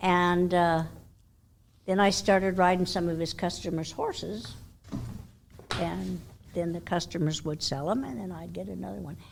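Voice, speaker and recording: Speaking at a moderate pace with long, frequent pauses, a woman with an American accent shows big swings in loudness amid audible room echo. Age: 80s+. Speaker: horse trainer. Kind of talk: interview.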